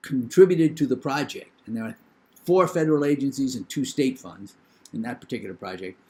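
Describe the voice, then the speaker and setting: This man speaks with a New England accent. His pitch swings very widely. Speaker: professor. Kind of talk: lecture.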